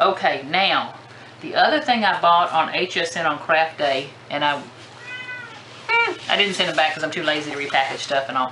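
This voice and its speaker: A woman's very deep, low voice at a moderate pace, with ordinary pitch variation, long, frequent pauses, audible room echo and noticeable background noise. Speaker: crafting vlogger. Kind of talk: casual product haul show-and-tell. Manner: animated.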